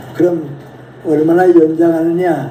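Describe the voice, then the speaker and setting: A man's fairly high voice at a very slow pace amid noticeable background noise. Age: 80s+. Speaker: philosopher, professor. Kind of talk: lecture talk.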